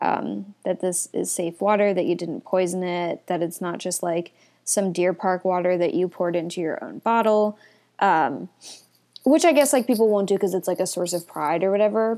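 A woman's medium-pitched voice, a normal speaking voice at a moderate pace with ordinary pitch variation, on a very clean recording with a silent background. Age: 20s. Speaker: solo podcaster. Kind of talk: casual monologue. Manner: laughing often, filler-heavy.

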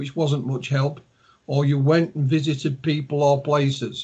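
A man with a Yorkshire accent and a fairly high, somewhat breathy voice speaks at a fairly slow pace. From Yorkshire, northern England. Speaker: ufologist and author. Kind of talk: interview.

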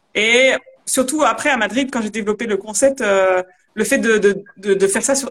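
In an unremarkable speaking voice, a woman with a fairly high pitch speaks at a moderate pace with ordinary pitch variation. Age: 30s. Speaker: culinary coach and former chef. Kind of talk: live video interview.

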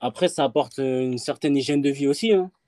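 The man's voice has a dark, mellow tone, captured with a dry, close sound with no echo. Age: 20s. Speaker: trainee sports instructor. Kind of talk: interview. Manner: halting.

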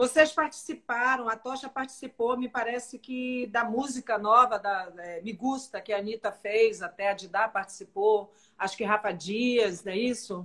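Fairly high female speech at a moderate pace, with ordinary pitch variation and hardly any pauses. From Salvador, Bahia, Brazil. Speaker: live show host. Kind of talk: interview. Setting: livestream. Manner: animated.

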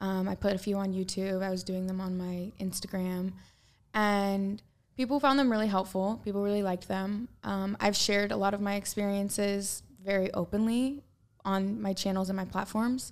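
In a very clean recording with a silent background, a woman speaks at a moderate pace. Her medium-pitched voice keeps fairly even intonation. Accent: American. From US Pacific Northwest, Portland. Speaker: social media influencer. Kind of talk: casual chat.

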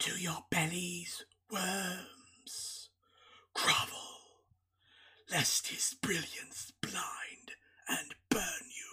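A whispering, raspy, rumbling put-on character voice at a very slow pace with long, frequent pauses. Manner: commanding, menacing.

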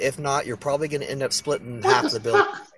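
Over noticeable background noise, a man talks. His pace is very fast. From US West Coast. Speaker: listener participant. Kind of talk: casual chat. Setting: online audio room.

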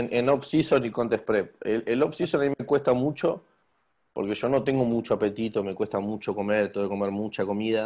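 A man speaks at a fairly quick pace, his medium pitch rising and falling in an ordinary way. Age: 20s. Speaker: bodybuilder. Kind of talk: interview. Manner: talkative.

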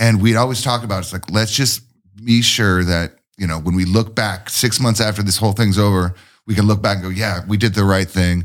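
An unremarkable speaking voice from a man, fairly low in pitch and fairly quick, in a very clean recording with a silent background. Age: 40s. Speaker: craft brewer. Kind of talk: casual chat.

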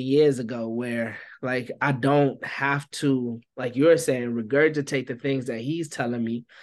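A man's relaxed, monotone delivery, flat in intonation, medium in pitch and fairly slow, over a quiet background. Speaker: barber and youth minister. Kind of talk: casual interview conversation. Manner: relaxed vernacular speech.

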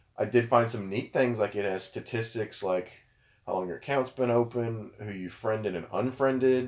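In a very clean recording with a silent background, a man talks at a moderate pace with medium pitch, fairly even intonation, and an unremarkable speaking voice. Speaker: podcast co-host. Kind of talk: casual chat about gaming and current events.

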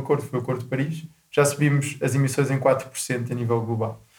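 A man talks at a fairly quick pace, somewhat breathy, with fairly even intonation. Audible room echo surrounds his voice. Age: 20s. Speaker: podcast host. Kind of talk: interview.

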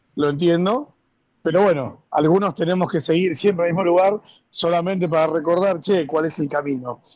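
His pitch runs high. The man keeps to a moderate pace. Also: ordinary pitch variation. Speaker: club member commentator. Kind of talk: casual chat. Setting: remote call.

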